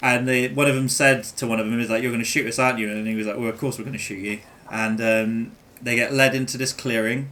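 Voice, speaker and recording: There is noticeable background noise as a man talks at a very fast pace. His medium pitch stays monotone, with flat intonation. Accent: English. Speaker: gaming streamer. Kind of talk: casual chat. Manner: halting.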